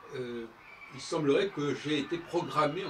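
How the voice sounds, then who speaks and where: A man speaks at a fairly high pitch. The audio carries audible room echo and noticeable background noise. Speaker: composer and musician. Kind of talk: spoken monologue on his music. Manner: halting, many hesitations.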